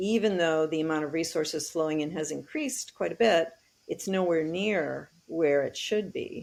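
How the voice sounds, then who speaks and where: At a fairly slow pace and with ordinary pitch variation, the speaker has a plain, everyday voice. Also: woman. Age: 60s. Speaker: technology advocate and author. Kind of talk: interview.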